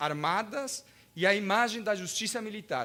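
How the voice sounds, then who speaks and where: A man with a Spanish accent speaks in a raised, projected voice. His pitch is high and his pace is fairly slow. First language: Spanish (speaking Portuguese). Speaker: law professor and lawyer. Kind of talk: lecture. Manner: halting, with hesitations.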